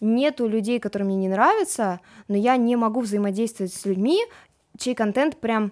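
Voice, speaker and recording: On a very clean recording with a silent background, a woman talks at a moderate pace in a plain, everyday voice. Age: young. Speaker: TikTok blogger. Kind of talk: casual chat. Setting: studio.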